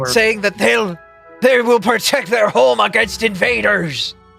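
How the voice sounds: A put-on character voice, fairly high and fairly slow, with faint music in the background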